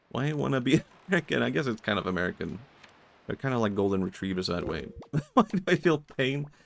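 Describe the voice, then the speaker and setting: A man talks at a very fast pace with vocal fry and very wide pitch swings. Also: medium pitch for a man. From Sweden. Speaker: vtuber streamer. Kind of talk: casual chat while gaming.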